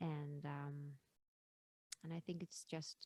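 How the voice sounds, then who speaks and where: Someone with a Finnish accent talks at a fairly slow pace in a flat monotone, with a dry, close sound and no echo. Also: woman. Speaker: singer. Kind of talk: interview. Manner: halting.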